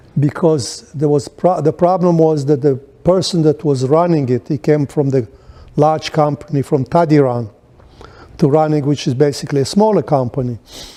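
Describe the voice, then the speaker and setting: With a non-native accent, a man speaks at a moderate pace in a dark, mellow tone, his fairly high pitch showing ordinary variation and his loudness very even. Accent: foreign. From Poland, then Israel. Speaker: Holocaust-era refugee and businessman. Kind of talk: oral history interview. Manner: halting, many false starts.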